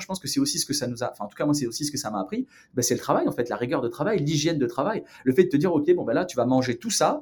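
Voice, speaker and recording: A very fast, lively-intoned man's voice, fairly high in pitch with a dark, mellow tone. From southern France, near Marseille and Aix-en-Provence. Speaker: entrepreneur. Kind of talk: casual interview.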